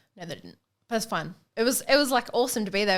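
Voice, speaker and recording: A woman speaks very fast in an Australian accent, her intonation lively. The recording is very clean, with a silent background. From Australia, Queensland, Sunshine Coast. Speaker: professional boxer. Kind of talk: casual chat.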